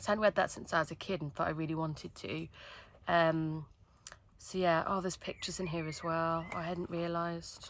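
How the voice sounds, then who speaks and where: A woman with a Wolverhampton accent, fairly low in pitch, at a fairly quick pace, in a very clean recording with a silent background. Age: 30s. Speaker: book vlogger. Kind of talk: casual chat. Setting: filming in a tent. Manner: animated.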